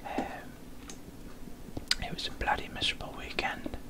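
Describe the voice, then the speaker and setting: A man whispers over noticeable background noise. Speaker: Minecraft gamer / YouTuber. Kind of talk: casual talk to camera, gaming commentary. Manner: whispered, slurred, rambling.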